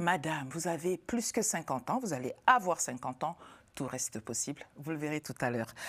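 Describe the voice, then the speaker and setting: At a moderate pace, a woman with a very deep, low pitch speaks with very wide pitch swings. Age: 50s. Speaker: talk show host. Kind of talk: TV panel discussion. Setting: TV studio.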